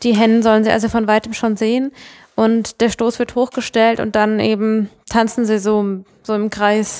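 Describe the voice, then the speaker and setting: A woman speaks in a fairly high, monotone voice with flat intonation. Her pace is moderate, and the recording is very clean with a silent background. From Mannheim, Germany. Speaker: conservation project manager. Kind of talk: podcast interview.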